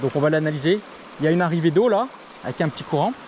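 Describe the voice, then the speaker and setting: Noticeable background noise surrounds a man with a high voice. He talks at a very fast pace with lively intonation. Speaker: fishing youtuber. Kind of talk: outdoor fishing tutorial. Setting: outdoors by a river. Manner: soft-spoken.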